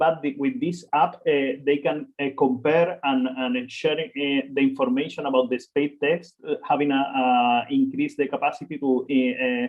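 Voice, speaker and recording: A man talks with hardly any pauses and fairly even intonation. His pitch is fairly high. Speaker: researcher presenting projects. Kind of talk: webinar presentation. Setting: online webinar. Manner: fast; halting, many fillers.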